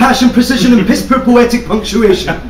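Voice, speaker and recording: With music in the background and audible room echo, a man talks at a fairly quick pace in a high voice. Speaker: spoken word poet. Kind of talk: slam poetry performance. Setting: live stage. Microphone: camera far.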